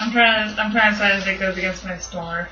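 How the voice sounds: Audible room echo follows a woman with a medium-pitched voice and a bright, sharp tone as she talks fast with fairly even intonation.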